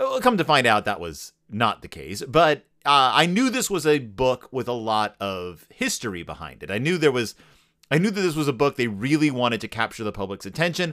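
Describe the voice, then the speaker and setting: A man speaks at a medium pitch and a fairly quick pace, his tone bright and sharp. Vocal fry runs through his speech amid very wide pitch swings. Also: very clean recording, silent background. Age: 40s. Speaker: podcast host. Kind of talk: casual chat.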